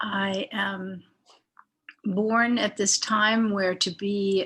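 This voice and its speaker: Her pitch sits in the medium range for a woman. The delivery is monotone and flat throughout. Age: 70s. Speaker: artist and community arts founder. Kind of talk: interview. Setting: video call.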